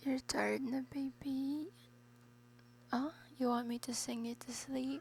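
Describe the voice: A woman speaks slowly in a high pitch, with vocal fry. Her intonation stays fairly even.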